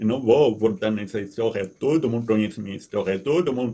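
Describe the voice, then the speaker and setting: At a moderate pace, a man with a non-native accent speaks at medium pitch with ordinary pitch variation and a dark, mellow tone. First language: not Portuguese (speaking Portuguese). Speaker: resident activist vlogger. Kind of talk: complaint monologue. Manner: halting, repeats words.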